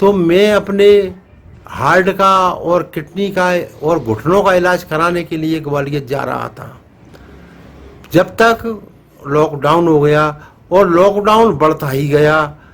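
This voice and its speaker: Against noticeable background noise, a man with a high pitch for a man and ordinary pitch variation speaks with long, frequent pauses. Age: 70s. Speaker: elderly father of the vlogger's family. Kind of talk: casual talk to camera. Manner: halting, many fillers.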